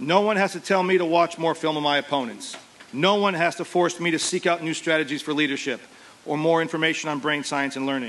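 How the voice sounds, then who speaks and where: Talking at a very fast pace, a man uses a fairly high pitch with ordinary variation. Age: 40s. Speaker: teacher and football coach. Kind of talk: commencement speech. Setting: outdoor graduation ceremony with audience. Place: stadium. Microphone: podium.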